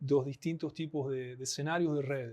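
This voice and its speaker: In an Argentine accent, a man speaks at a fairly high pitch with ordinary pitch variation. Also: quiet background. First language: Spanish (speaking Portuguese). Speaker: anthropologist, network analysis specialist. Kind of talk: podcast interview.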